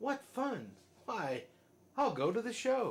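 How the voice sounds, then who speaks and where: At a fairly slow pace, a man puts on a character voice with an extremely high pitch. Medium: read story. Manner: shrill, self-centered.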